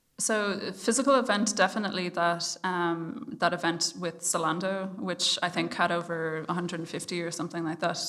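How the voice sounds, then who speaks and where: Her pitch fairly low and intonation fairly even, a woman talks at a moderate pace with hardly any pauses. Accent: Irish. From Ireland. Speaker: startup founder. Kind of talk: interview. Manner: hesitant, many fillers.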